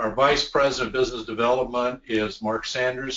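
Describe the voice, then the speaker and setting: A man uses a plain, everyday voice at a medium pitch. He moves at a fairly quick pace with fairly even intonation. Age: 60s. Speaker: company executive. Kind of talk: training webinar. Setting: video call.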